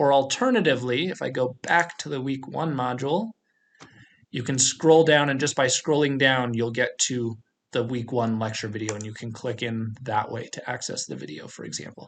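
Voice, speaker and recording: A man speaks in a normal speaking voice at a medium pitch and a moderate pace. His pitch varies in an ordinary way while his loudness swings widely. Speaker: college math instructor. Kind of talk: course orientation tutorial with screen walkthrough. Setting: recorded screencast video.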